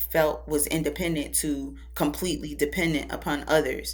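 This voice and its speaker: A woman at a moderate pace, with audible room echo. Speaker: public speaker and spiritual advisor. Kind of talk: podcast interview.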